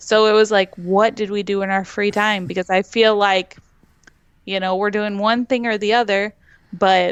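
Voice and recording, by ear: A woman speaks at a moderate pace with medium pitch. Her tone is clear and smooth, with little pitch movement.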